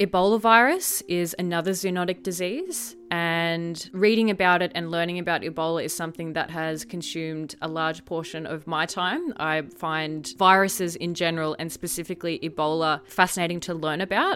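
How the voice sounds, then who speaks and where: A woman with an Australian accent talks at a fairly low pitch with fairly even intonation. She leaves hardly any pauses. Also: moderate pace. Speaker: science podcast host. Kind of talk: solo educational podcast. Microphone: new professional podcasting mic.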